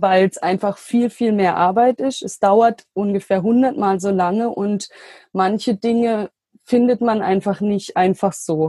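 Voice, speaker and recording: A woman's dark, mellow voice at medium pitch, fairly slow, with ordinary pitch variation, in a dry, close sound with no echo. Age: 20s. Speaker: trained geriatric nurse and health coach founder. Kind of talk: interview. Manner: hesitant with fillers.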